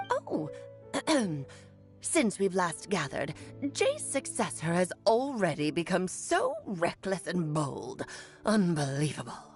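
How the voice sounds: Over clear background music, a put-on character voice at a middle pitch talks fairly slowly with long, frequent pauses.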